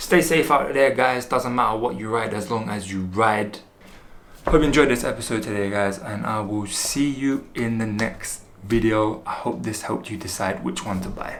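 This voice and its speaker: Over noticeable background noise and audible room echo, a man with a London accent speaks at a moderate pace and medium pitch with ordinary pitch variation. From London, England. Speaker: motorcycle vlogger. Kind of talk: product review vlog. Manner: casual.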